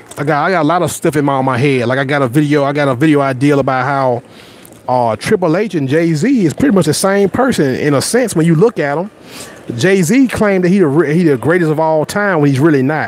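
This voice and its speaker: With noticeable background noise behind him, a man with a Southern US accent talks at a fairly quick pace, his fairly high pitch showing ordinary variation. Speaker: YouTuber. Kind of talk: casual live stream chat. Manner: animated; repetitive stammering starts.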